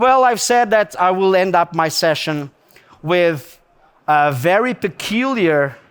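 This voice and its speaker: A man with a Portuguese accent sounds animated, with lively intonation. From Portugal. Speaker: gemmologist lecturer. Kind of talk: lecture. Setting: stage with audience. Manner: animated, conversational.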